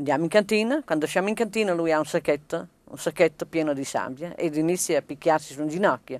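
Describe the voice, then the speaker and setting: Speaking very fast with hardly any pauses, a woman with a fairly low voice comes across in a dry recording with no echo. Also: ordinary pitch variation, big swings in loudness. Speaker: partisan's widow; interviewee. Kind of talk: testimony interview. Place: open country.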